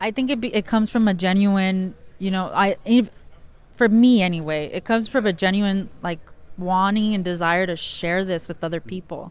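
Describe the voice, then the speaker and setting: With a Spanish accent, a woman speaks at a medium pitch and a moderate pace, using ordinary pitch variation. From South Central Los Angeles. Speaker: former school teacher, card break business owner. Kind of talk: casual interview. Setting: card show floor.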